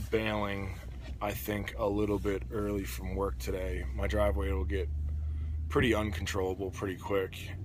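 The voice moves through very wide pitch swings at a fairly slow pace. The sound is dry with no echo, over light background noise. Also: man. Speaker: vlogger. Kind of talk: casual vlog chat. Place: car. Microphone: phone near.

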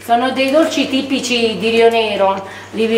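Light background noise and audible room echo surround a woman's voice. She speaks at a fairly slow pace with a fairly high pitch. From southern Italy, Basilicata. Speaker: local cook. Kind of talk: casual explanation. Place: cafe. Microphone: phone near.

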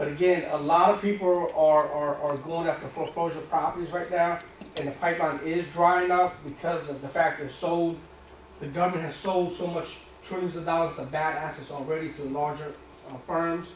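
A man with a high pitch talks at a moderate pace in a monotone, flat intonation, with audible room echo and light background noise. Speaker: seminar instructor. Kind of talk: lecture. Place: meeting room. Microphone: camera far.

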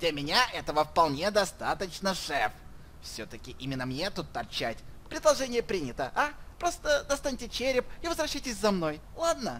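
In a put-on character voice of fairly high pitch, the speaker swings very widely in pitch at a moderate pace amid clear background noise. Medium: fan dub. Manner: panicky, pleading, familiar.

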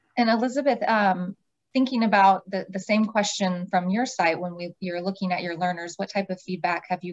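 At a moderate pace, a woman talks in an unremarkable speaking voice with medium pitch and ordinary pitch variation against a quiet background. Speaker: nonprofit program staff, webinar moderator; webinar moderator. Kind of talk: webinar moderation. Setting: video call. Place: office. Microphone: video call.

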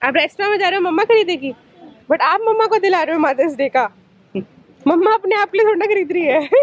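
A woman talks at a fairly quick pace in an extremely high pitch, with lively intonation and very even loudness. The sound is dry with no echo. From India. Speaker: vlogger. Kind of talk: casual vlog talk to camera.

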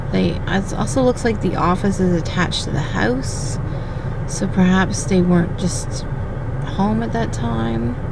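A woman at a fairly slow pace, loud background noise, dry sound with no echo. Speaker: vlogger. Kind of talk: casual vlog chat. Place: car. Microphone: phone near.

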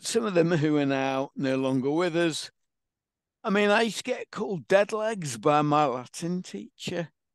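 A man with an English accent talks at a moderate pace in a high pitch, his intonation lively. The sound is dry with no echo and the background is quiet. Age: 50s. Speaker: patient advocate with Parkinson's; interview guest. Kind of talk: interview. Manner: animated. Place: home room. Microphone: headset.

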